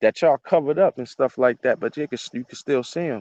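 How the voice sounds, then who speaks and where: Against a quiet background, a man speaks with ordinary pitch variation. The sound is dry and close, with no echo. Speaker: citizen vlogger. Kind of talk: casual monologue vlog.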